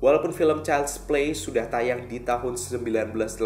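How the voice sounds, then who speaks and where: A man speaks at a very slow pace with fairly even intonation, his voice carrying audible room echo over light background noise. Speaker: video host. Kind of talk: casual presenter commentary. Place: studio.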